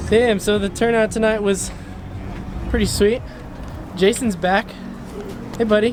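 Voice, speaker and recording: Over background music, a man with a high voice talks at a moderate pace, his intonation fairly even and his pauses long and frequent. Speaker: car YouTuber. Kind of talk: casual vlog. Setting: in a car. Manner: loud, yelling over car noise.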